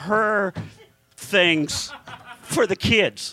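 With an American accent, a man speaks in a raised, projected voice. His pitch is high and his tone animated. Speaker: podcast host and comedian. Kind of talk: live comedy podcast chat with crude joking and riffing, audience present. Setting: live in front of audience at comedy club. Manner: animated, jokey, rambling; irreverent crude roasting banter.

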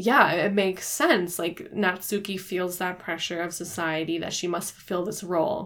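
Delivered at a moderate pace with hardly any pauses, this is a plain, everyday voice. The intonation stays fairly even. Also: woman, medium pitch for a woman. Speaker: podcast co-host, book club. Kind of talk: casual book discussion.

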